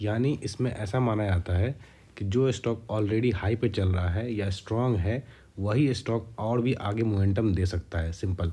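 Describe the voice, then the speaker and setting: At a fairly slow pace, a man speaks in a fairly low pitch with a dark, mellow tone, somewhat breathy, with fairly even intonation and very even loudness. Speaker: stock trading YouTuber. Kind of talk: tutorial.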